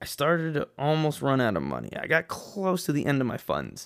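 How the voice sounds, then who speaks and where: A man with an American accent and a normal speaking voice, fairly high in pitch, with ordinary pitch variation at a moderate pace, in a very clean recording over a silent background. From West Texas, El Paso. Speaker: podcast host, airline pilot. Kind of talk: solo podcast monologue. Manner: casual, conversational.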